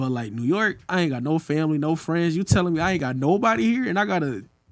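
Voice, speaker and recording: A man talks at a very fast pace. His fairly high pitch moves in very wide swings. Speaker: rapper. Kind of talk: casual chat. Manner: animated.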